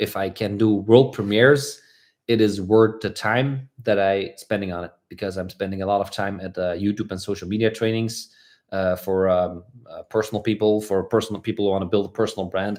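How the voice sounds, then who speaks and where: This is a very clean recording with a silent background. A man with a Flemish accent speaks at a fairly low pitch. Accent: Belgian (Flemish) English. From Belgium. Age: 30s. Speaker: motorcycle vlogger. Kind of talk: livestream Q&A chat. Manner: fast; animated, talkative.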